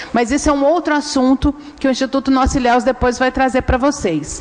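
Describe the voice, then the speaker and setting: Through noticeable background noise, a woman speaks at a high pitch with ordinary pitch variation. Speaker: researcher at a human rights NGO. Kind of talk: public hearing presentation.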